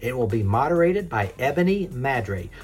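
Music plays in the background while a man's voice moves through very wide pitch swings. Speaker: news host. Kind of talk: news reading, brisk daily headline bulletin. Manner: brisk, crisp, formal; steady, even-paced, newscaster delivery.

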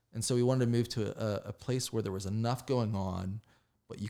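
A man's dark, mellow voice with an American accent and fairly even intonation, on a very clean recording with a silent background. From West Virginia, near Pittsburgh. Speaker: arts journalist and critic. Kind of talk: casual interview conversation. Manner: halting, many fillers and restarts.

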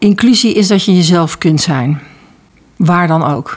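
Moderate pace, an ordinary speaking voice, a woman talking. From North Brabant, Netherlands. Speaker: school internship coordinator. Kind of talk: interview.

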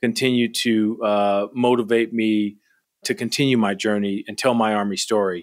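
On a very clean recording with a silent background, a man with an American accent uses a normal speaking voice at medium pitch, fairly even intonation and a moderate pace. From US Midwest, Milwaukee, Wisconsin. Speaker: army general. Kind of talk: interview.

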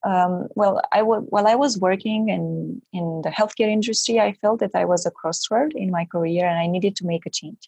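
A woman speaks at a moderate pace with hardly any pauses. Her medium-pitched voice is somewhat breathy, with ordinary pitch variation. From Romania. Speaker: MBA student's spouse. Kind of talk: interview.

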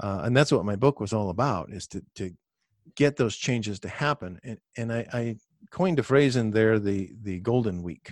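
In a very clean, dry and close recording with a silent background and no echo, a man with an unremarkable speaking voice talks at a moderate pace in a medium pitch with ordinary pitch variation. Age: 50s. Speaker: retired physician and personal finance author. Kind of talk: casual interview.

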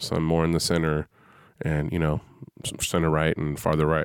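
A man's very deep, low voice with an American accent, monotone and flat, at a moderate pace on a very clean recording with a silent background. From US West Coast, San Francisco Bay Area. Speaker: podcast host, Air Force veteran. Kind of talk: solo podcast monologue. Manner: casual, with fillers.

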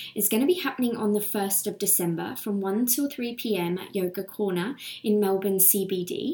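This woman has an ordinary speaking voice, pitched fairly high, with ordinary pitch variation and a moderate pace. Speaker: podcast host and yoga teacher. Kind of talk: guided meditation (yoga nidra). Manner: calm, soothing.

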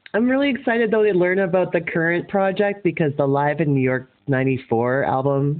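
A Canadian accent at a moderate pace, with hardly any pauses. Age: 40s. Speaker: podcast host and rock singer. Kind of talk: interview. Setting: phone call.

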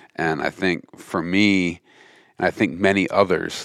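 A man talks with a very deep, low pitch and fairly even intonation. The recording is very clean with a silent background, and the sound is dry and close with no echo. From mountain West US. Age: 40s. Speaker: hunting and fishing conservation group leader. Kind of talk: casual chat.

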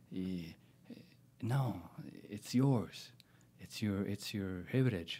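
Long, frequent pauses break up a man's very slow speech. His dark, mellow tone carries ordinary pitch variation. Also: fairly low pitch for a man. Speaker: stunt performer. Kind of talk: casual conversation interview. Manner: halting, searches for English words.

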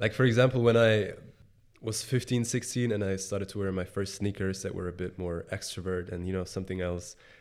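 Here a man speaks with a very deep, low pitch and fairly even intonation. His pace is fairly quick. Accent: Bavarian. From Germany, Bavaria (small village near Munich). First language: German. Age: 20s. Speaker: sneaker reseller and entrepreneur. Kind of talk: interview conversation. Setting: in-person recording.

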